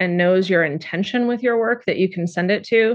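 A woman speaks with an American accent at medium pitch. It is a normal speaking voice with fairly even intonation. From California. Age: 40s. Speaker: poet. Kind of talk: interview.

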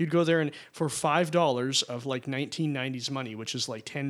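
A man with an unremarkable speaking voice talks at a medium pitch with ordinary pitch variation, recorded very cleanly with a silent background. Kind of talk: casual chat.

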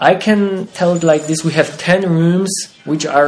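The speaker has a Polish accent and a moderate pace. Noticeable background noise runs underneath. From Poland, Wieliczka area. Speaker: haunted attraction owner. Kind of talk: interview. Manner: halting.

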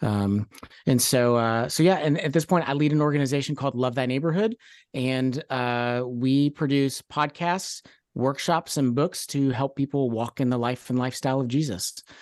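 Against a quiet background, a man with an American accent talks at a moderate pace in an unremarkable speaking voice, medium in pitch with ordinary variation. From Kentucky, US (Louisville). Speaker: Enneagram coach and ministry founder. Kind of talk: interview.

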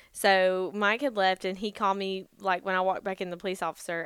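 Speaking at a fairly quick pace in a Southern US accent, a woman has a bright, sharp tone at a medium pitch in a very clean recording with a silent background. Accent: Southern US (Georgia). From US South, Georgia (Gainesville, Vidalia). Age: 20s. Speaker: podcast co-host. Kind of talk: casual chat.

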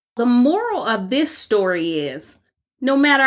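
A woman with a high voice that leaps across a very wide range of pitch. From United States. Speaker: podcast host. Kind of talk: scripted narration.

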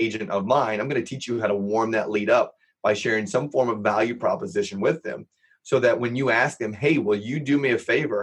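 An unremarkable speaking voice with an American accent at a fairly quick pace. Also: man. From Los Angeles, US. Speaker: real estate entrepreneur and software founder. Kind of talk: podcast interview.

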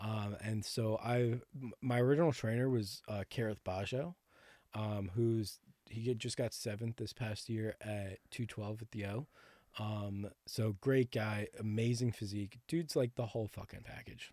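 The tone is dark and mellow, with an American accent and fairly even intonation at a fairly slow pace. The recording is very clean, with a silent background. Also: man, medium pitch for a man. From Connecticut, near New York City. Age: 20s. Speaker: actor and bodybuilder. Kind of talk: casual chat.

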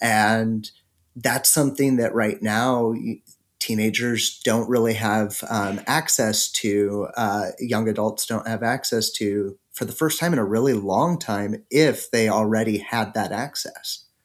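The voice is a plain, everyday voice. It moves at a fairly slow pace with fairly even intonation. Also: man, medium pitch for a man. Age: 30s. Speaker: sex therapist and behavior analyst. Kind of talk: podcast interview.

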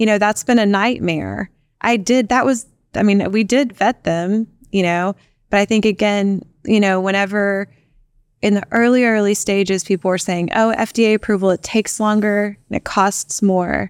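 A plain, everyday voice from a woman with an American accent, medium pitch, fairly even intonation, moderate pace and very even loudness, in a dry, close sound with no echo. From Texas Panhandle. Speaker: startup founder and CEO. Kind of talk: interview.

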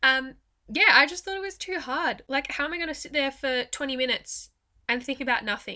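A woman speaks with an Australian accent, her tone bright and sharp and her intonation lively. The recording is very clean, with a silent background. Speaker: podcast host and mindset coach. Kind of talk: guided meditation. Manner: gentle, even pacing with pauses.

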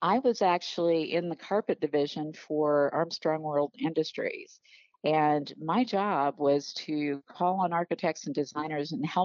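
At a fairly slow pace, a woman talks in a very deep, low voice with ordinary pitch variation. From Arkansas. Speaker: business coach for interior designers. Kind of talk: interview. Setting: phone call. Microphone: telephone line.

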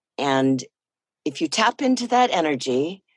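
The pitch swings very widely, in a West Coast accent. It is a very clean recording with a silent background. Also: woman. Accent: American West Coast. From US Pacific Northwest, Port Angeles, Washington. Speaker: voiceover actor. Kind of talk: interview.

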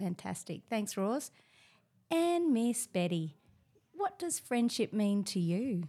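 A woman with an Australian accent speaks very slowly, with long, frequent pauses and very wide pitch swings. Her fairly high voice is somewhat breathy, with a dark, mellow tone. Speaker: teacher. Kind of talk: casual chat.

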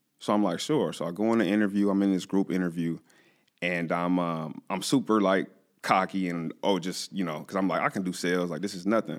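On a very clean recording with a silent background, a man with an American accent talks at a fairly quick pace in a very deep, low pitch. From Southern California, San Bernardino. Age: 20s. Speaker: cancer patient, former college football player. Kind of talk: personal testimony in interview. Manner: casual, animated storytelling.

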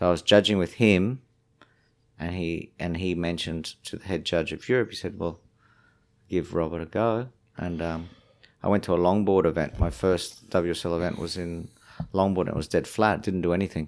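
Speaking with an Australian accent at a very deep, low pitch, a man keeps a moderate pace and fairly even intonation, broken by long, frequent pauses. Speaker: surfing tour manager. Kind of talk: casual chat.

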